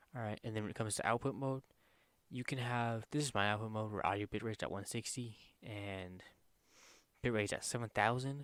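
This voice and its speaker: At a fairly quick pace but with long, frequent pauses, a man of medium pitch speaks with fairly even intonation in a very clean recording with a silent background. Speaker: gaming youtuber. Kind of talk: tutorial. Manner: casual.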